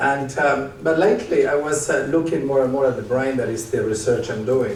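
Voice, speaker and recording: A man with a fairly high pitch and an Argentinian accent at a moderate pace, amid audible room echo and noticeable background noise. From Argentina, Córdoba and Buenos Aires. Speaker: psychiatrist and leadership speaker. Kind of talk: live stage interview. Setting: stage with audience.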